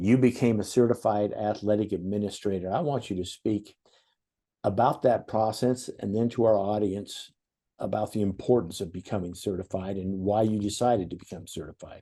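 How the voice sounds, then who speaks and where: Against a quiet background, a man talks at a moderate pace with a fairly low pitch. His tone is dark and mellow, and his intonation fairly even. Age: 60s. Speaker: podcast host. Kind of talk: podcast interview.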